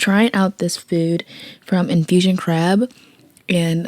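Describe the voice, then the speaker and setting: Speaking very slowly, a woman keeps her fairly low voice on a fairly even line. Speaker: vlogger; small business owner. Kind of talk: casual talk to camera. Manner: casual, chatty.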